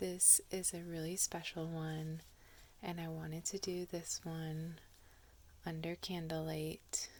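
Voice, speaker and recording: Whispering and soft-spoken delivery. The pace is very slow. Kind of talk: casual ASMR introduction to camera. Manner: soft-spoken, whispered.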